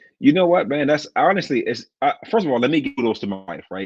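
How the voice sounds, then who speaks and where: Talking at a fairly quick pace, a man speaks in an American accent. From Washington DC. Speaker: pastor. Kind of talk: casual interview chat.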